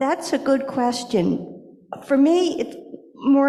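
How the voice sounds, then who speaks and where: A woman speaks over noticeable background noise. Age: 60s. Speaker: blind presenter at a congregation service. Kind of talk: personal testimony and Q&A.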